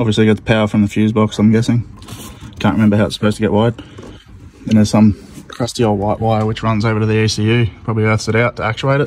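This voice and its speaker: Very fast, flat, monotone speech from a man with a fairly low voice, the sound dry with no echo and light background noise. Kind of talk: tutorial commentary. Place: street. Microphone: phone near.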